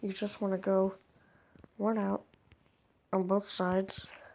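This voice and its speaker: A woman speaks quietly, her medium-pitched voice dark and mellow in tone. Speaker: gaming video creator. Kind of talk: tutorial. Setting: at home at night.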